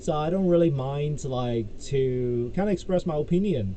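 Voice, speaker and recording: With a Cantonese accent, the speaker moves at a fairly slow pace with lively intonation, amid audible room echo and noticeable background noise. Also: man. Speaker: YouTuber, crypto commentator. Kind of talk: casual vlog monologue. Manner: halting, many fillers.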